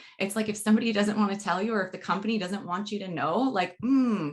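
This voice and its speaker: A woman at medium pitch speaks at a very fast pace in a somewhat breathy voice. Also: hardly any pauses. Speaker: podcast host and university communication educator. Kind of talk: casual interview.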